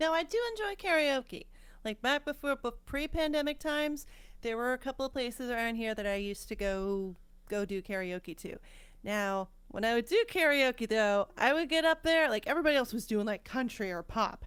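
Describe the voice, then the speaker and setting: A high-pitched woman's voice in an American accent, lively in intonation and moderate in pace. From California. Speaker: piano streamer and singer. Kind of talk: casual chat.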